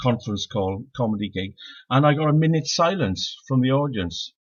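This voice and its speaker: In a Welsh accent, a man speaks at a medium pitch with lively intonation. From Wales, Swansea Valley. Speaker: stand-up comedian. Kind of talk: stand-up. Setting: live-streamed online show. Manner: halting.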